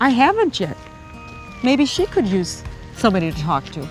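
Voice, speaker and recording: Faint music plays behind a woman speaking at a moderate pace in a fairly high voice with very wide pitch swings. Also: dry sound with no echo. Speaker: grandmother. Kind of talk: customer testimonial. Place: forest. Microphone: lapel.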